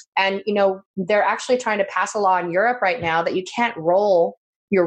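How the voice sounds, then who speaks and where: A woman with an ordinary speaking voice talks at a fairly quick pace and medium pitch, with ordinary pitch variation, against a quiet background. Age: 50s. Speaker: travel business owner and event producer. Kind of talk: interview.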